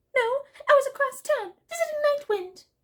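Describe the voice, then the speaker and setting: A squeaky, put-on character voice at extremely high pitch and moderate pace. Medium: read story. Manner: plaintive.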